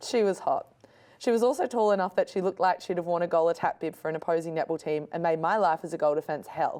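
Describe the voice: A woman's raspy, put-on character voice at a fairly low pitch and a very fast pace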